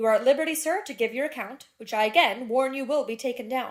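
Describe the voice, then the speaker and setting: A woman uses a put-on character voice that sounds robotic, pitched high with ordinary pitch variation. She talks at a very fast pace. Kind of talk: formal police caution. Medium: read story. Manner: dull, mechanical.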